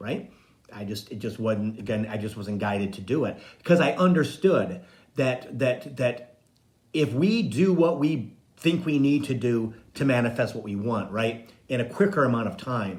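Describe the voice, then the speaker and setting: Through audible room echo, a man's somewhat breathy, medium-pitched voice moves at a moderate pace with lively intonation. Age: 60s. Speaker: psychic medium and spiritual coach. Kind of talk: casual live-stream monologue.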